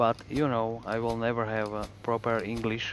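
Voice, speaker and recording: A man with a strong Slovak accent, medium in pitch, at a fairly slow pace. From Slovakia. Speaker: video game streamer. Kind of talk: live gaming stream chat. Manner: halting, with fillers.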